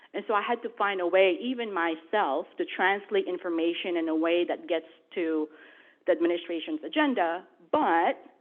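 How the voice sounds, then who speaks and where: Here is a woman with a Filipino accent and a medium pitch. She talks at a moderate pace with lively intonation. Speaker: federal government official, panelist. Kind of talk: panel discussion. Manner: animated.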